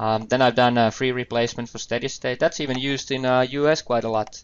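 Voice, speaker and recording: A man speaks in a Finnish accent. His pitch is medium. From Finland. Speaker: IT trainer. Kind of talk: webinar presentation. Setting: online webinar. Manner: hesitant, with fillers.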